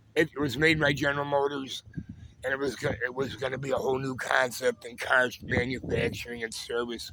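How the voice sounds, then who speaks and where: In a put-on character voice, a man talks at a fairly quick pace, raspy and at a medium pitch. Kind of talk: informal, conversational.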